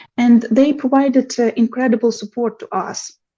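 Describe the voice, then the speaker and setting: The woman's voice has a dark, mellow tone and a fairly high pitch. She speaks at a fairly slow pace. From Ukraine. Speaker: mathematician. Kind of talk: podcast interview answer.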